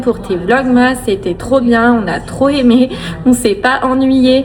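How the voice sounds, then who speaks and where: A woman at a very slow pace and high pitch, with audible room echo and noticeable background noise. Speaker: family vlogger. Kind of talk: casual vlog talk to camera. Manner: hesitant, many fillers.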